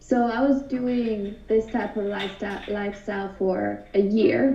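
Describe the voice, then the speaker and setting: With a Hungarian accent, a woman talks at a fairly slow pace and with fairly even intonation. Room echo is audible, and background noise is noticeable. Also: medium pitch for a woman. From Hungary. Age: 20s. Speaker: artist. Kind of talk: interview. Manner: casual, many fillers.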